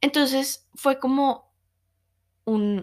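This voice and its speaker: A woman talks with ordinary pitch variation, captured on a very clean recording against a silent background. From Colombia. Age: 20s. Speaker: podcast host, meditation teacher. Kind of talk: personal testimony. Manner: hesitant, with fillers and repetitions.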